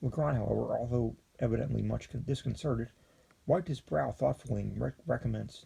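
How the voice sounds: The pitch shifts in an ordinary way through a natural reading voice.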